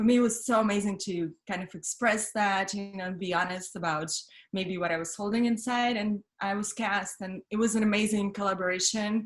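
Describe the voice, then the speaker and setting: Her pitch is medium for a woman, and her pace is fairly quick. She keeps a fairly even intonation. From Russia (Siberia), then Paris from 15. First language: Russian. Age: 30s. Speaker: model, actress and comedian. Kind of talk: interview. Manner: halting, many fillers.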